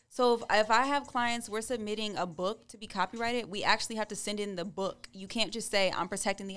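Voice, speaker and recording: This woman has an ordinary speaking voice with an American accent and medium pitch. She talks at a fairly quick pace with fairly even intonation. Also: hardly any pauses. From California. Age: 20s. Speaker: attorney. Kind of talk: casual interview.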